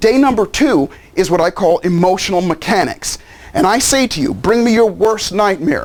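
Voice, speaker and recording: A man speaks in a high pitch, his tone animated and his intonation lively. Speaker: life coach and seminar speaker. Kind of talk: promotional pitch. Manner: fast.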